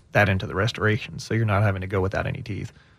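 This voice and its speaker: A man speaks with an American accent. His voice is somewhat breathy. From Texas. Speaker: dentist. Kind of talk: radio interview.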